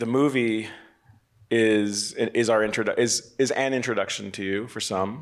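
Amid audible room echo, a man speaks at a moderate pace and medium pitch with fairly even intonation. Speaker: film festival director and moderator. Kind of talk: press conference moderation. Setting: stage with panel. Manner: halting, many fillers.

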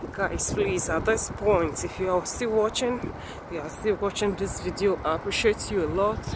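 Through loud background noise, a woman's voice comes across dry with no echo. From Nigeria. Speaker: YouTuber; vlogger giving a tour. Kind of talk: vlog walkthrough. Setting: outdoors at train station. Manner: animated. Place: street. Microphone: phone near.

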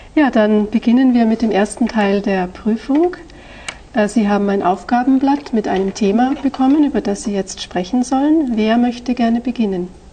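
A woman speaks at a moderate pace with a fairly high pitch and ordinary pitch variation. Noticeable background noise runs behind her. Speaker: language examiner. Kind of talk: oral language exam. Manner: formal.

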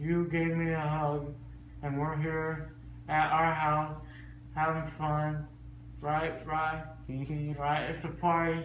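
Male voice, monotone and flat, at a very slow pace with long, frequent pauses, audible room echo and light background noise. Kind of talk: casual vlog chat. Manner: groggy, slurred post-anesthesia speech.

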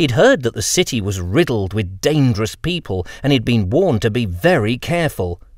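The speaker reads in a natural reading voice.

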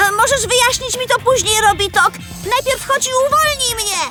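The cartoonish character voice has an extremely high pitch and a fairly quick pace. Loud music plays in the background. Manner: lively, eager.

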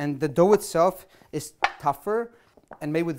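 Over light background noise, a man speaks at a fairly slow pace with ordinary pitch variation. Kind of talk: cooking show explanation. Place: kitchen.

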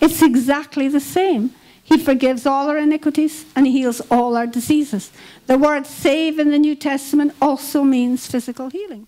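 A woman talks in a Scottish accent at a moderate pace. Her voice is high, with fairly even intonation. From Scotland. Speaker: Bible school leader; preacher. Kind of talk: sermon. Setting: church. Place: hall. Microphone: handheld.

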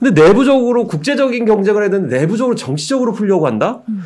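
The man's pitch rises and falls very widely. Behind him, all is quiet. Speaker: cultural critic. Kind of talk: casual chat. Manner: halting. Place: studio. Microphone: studio mic.

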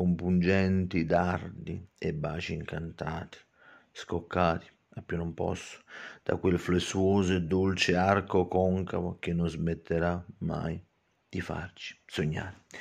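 Against a quiet background, a man speaks very slowly at a very deep, low pitch in a monotone, flat intonation. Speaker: poet and channel host. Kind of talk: poetry reading, slow and theatrical, with spoken commentary. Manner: dramatic, ornate, lingering on florid words; emphatic, repetitive, fond of explaining his own verses. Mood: emotional, wistful. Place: home room. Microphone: phone near.

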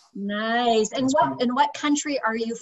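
A woman with an American accent speaks at a very fast pace and a fairly high pitch. Her intonation is lively, and the background is quiet. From United States. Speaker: YouTube host. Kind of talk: interview. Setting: video call. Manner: animated. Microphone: webcam.

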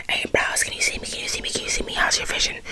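Against loud background noise, a woman whispers very fast in a soft-spoken way. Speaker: ASMR creator. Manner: soft close-mic ASMR whisper. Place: home room.

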